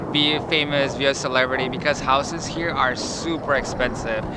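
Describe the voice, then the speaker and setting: Amid noticeable background noise and audible room echo, a man with a fairly high pitch talks with fairly even intonation. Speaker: travel vlogger. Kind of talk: travel vlog narration. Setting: outdoors, hotel courtyard.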